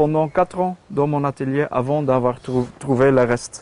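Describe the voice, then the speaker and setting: A man with a Flemish accent, a medium pitch and a dark, mellow tone. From Flanders, Belgium. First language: Dutch (Flemish) (speaking French). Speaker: sculptor. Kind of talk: casual studio tour explanation. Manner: halting, many hesitations and repetitions.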